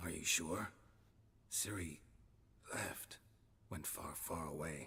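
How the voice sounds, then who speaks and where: Using a put-on character voice, a man speaks at a very deep, low pitch. His pace is fairly slow. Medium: video game. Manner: dry, terse, sardonic.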